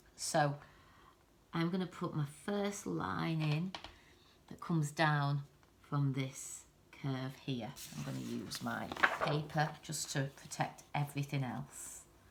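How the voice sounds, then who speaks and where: A soft-spoken woman talks very slowly at a very deep, low pitch, with ordinary pitch variation and long, frequent pauses. Background noise is noticeable. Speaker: art teacher. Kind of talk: tutorial.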